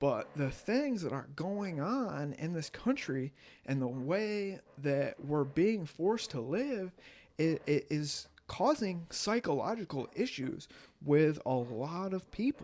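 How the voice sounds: A man talks slowly at a fairly high pitch, with big pitch swings and a slightly mellow tone.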